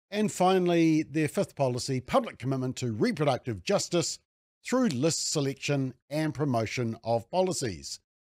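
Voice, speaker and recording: A man's lively intonation at a moderate pace, dry and close with no echo, on a very clean recording with a silent background. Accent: New Zealand. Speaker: political commentator. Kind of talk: angry rant. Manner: sarcastic; indignant, mocking.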